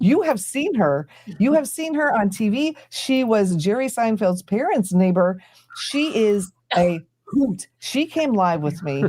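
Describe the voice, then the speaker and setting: A somewhat breathy woman with a dark, mellow tone speaks at a fairly slow pace, her fairly high pitch moving in very wide swings. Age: 50s. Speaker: YouTuber and live stream host. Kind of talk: casual group chat on a live stream. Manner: animated.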